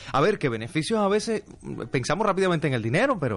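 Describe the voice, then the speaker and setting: A man is talking. His pitch swings very widely. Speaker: radio announcer. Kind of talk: reading listener comments aloud. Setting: radio studio.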